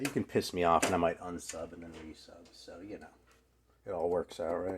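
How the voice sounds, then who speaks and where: A man mumbles at a fairly quick pace in a very deep, low voice that is somewhat breathy. His pitch varies in an ordinary way. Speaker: music YouTuber. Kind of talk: casual vlog talk. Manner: mumbling; fast.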